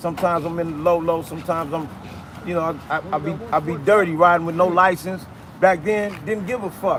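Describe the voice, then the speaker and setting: A man speaks at a fairly quick pace with a high pitch and ordinary pitch variation. Noticeable background noise is audible. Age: 60s. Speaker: former gang member. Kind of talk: storytelling interview.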